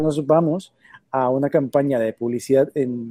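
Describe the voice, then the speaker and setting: A man speaks with a fairly high pitch and a dark, mellow tone. The sound is dry and close with no echo. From Colombia. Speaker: marketing agency owner. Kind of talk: interview.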